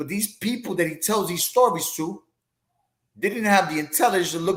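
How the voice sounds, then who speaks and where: The speaker is a man with a high pitch. He talks at a fairly quick pace. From New York (the Bronx). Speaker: boxing podcast host, former boxer. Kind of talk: casual chat. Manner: halting, repetitive.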